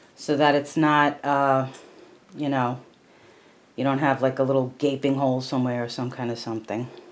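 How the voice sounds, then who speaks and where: A soft-spoken woman talks at a moderate pace with long, frequent pauses. Her pitch is very deep and low, and her intonation is monotone and flat. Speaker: crochet instructor. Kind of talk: tutorial. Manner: casual, hesitant with fillers.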